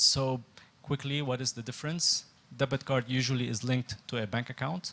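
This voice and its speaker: With fairly even intonation, a man speaks in a normal speaking voice at a moderate pace. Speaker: fintech product head. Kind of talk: presentation.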